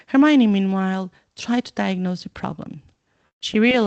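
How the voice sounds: The clip features a natural reading voice with ordinary pitch variation. The background is quiet.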